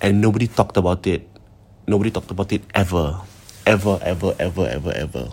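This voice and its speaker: A somewhat breathy man's voice, fairly low in pitch, with fairly even intonation. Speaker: podcast host. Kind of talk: ghost story telling, retelling a listener's account. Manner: suspenseful, building tension.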